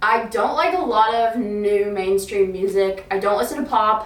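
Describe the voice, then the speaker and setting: An animated woman's voice with an American accent and medium pitch, plus audible room echo and noticeable background noise. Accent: slight Southern accent, said to be fading. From US South, Alabama. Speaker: fitness influencer. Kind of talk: casual vlog chat.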